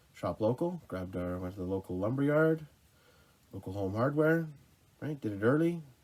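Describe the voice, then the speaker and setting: Long, frequent pauses break up this man's moderate pace. His medium-pitched voice moves in very wide pitch swings. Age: 30s. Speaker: outdoors vlogger. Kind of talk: casual vlog monologue. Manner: halting, many fillers.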